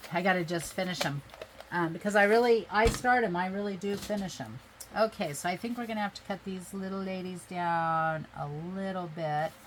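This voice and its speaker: A woman's voice at a medium pitch with ordinary pitch variation and a moderate pace, amid noticeable background noise. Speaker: craft video creator. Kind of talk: crafting tutorial. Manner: casual, chatty.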